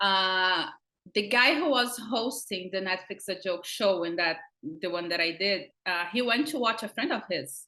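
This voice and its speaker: A woman talks in a strong Brazilian accent at a medium pitch and a fairly slow pace. Her tone is bright and sharp, her intonation lively. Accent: thick Brazilian Portuguese. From Brazil, countryside. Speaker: comedian and actress. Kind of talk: interview. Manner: animated.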